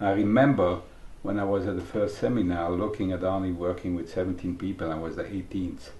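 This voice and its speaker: A man with a very deep, low pitch and a dark, mellow tone sounds somewhat breathy, keeping a fairly even intonation amid audible room echo. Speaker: early member of a psychology training school. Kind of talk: documentary interview. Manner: halting. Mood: warm, reminiscing.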